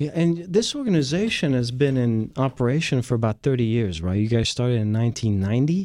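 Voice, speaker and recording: With a French accent, a man speaks at a fairly quick pace in a medium-pitched, dark, mellow voice, his intonation lively, his loudness very even and his pauses hardly any. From France. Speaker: radio host. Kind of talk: radio interview. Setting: studio.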